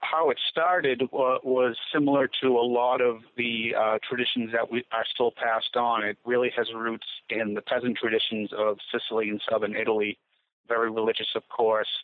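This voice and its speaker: A man with an American accent speaks in a plain, everyday voice at a moderate pace, his medium pitch carried by fairly even intonation. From Gloucester, Massachusetts, US. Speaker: writer. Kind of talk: interview.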